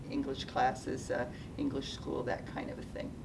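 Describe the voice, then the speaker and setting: A woman with a General American accent speaks amid audible room echo and noticeable background noise. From US Pacific Northwest, Seattle. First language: Japanese. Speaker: retired nonprofit executive. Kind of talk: interview. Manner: hesitant, many fillers.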